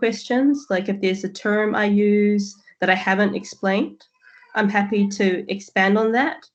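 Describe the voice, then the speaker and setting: A woman with a New Zealand accent, medium pitch and a moderate pace. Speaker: QA manager, presenter. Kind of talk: presentation.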